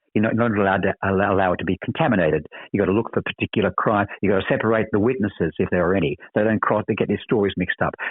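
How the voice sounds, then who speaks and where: A man in an Australian accent talks at a very fast pace with hardly any pauses. His fairly low pitch shows ordinary variation, and his loudness stays very even. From Australia, Sydney. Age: 70s. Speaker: actor. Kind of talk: interview. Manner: halting, frequent repetitions.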